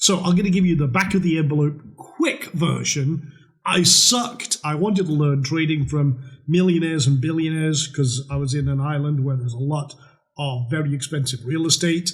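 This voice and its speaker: Speaking in a Scottish accent, a man uses a fairly high pitch, ordinary pitch variation, and a moderate pace. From Scotland, northern isles. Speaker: trading educator. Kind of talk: webinar sales pitch. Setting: webinar with webcam. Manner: casual, animated.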